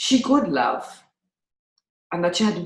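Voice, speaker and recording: The somewhat breathy voice makes very wide pitch swings. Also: woman. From Malta. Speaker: podcast host. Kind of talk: interview answer.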